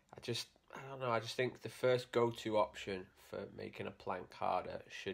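A man speaks at a fairly slow pace with monotone, flat intonation. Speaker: fitness vlogger. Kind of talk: casual vlog chat, tutorial. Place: home room. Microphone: phone near.

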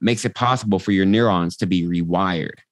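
With an American accent, the speaker has an energetic tone, ordinary pitch variation and a moderate pace. The sound is dry with no echo, and the background is quiet. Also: man. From Texas, Austin; Texas. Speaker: transformational coach; podcast guest, coach. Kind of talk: casual interview chat; guided meditation, coach walking listener through eye-flutter theta induction. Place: home room. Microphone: video call.

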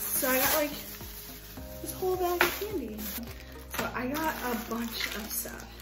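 Her pace is fairly slow. Music comes through clearly behind her. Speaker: vlogger. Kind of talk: casual vlog chat. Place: home room. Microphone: phone near.

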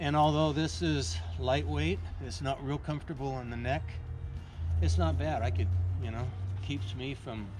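Over music in the background, a man speaks with a very deep, low pitch that makes very wide swings. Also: moderate pace. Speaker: tree climbing instructor. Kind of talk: tutorial. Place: forest. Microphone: camera far.

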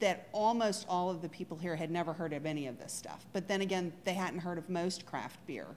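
Speaking at a fairly quick pace, a woman uses lively intonation with a fairly low pitch and a slightly mellow tone.

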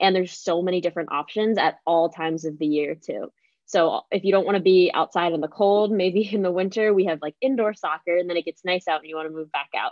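Speaking at a very fast pace, a woman with an American accent has a fairly low pitch and fairly even intonation. The sound is dry with no echo, over a quiet background. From Pennsylvania. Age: 20s. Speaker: college student ambassador; student host of admissions Q&A. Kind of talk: live Q&A chat. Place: home room. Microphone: video call.

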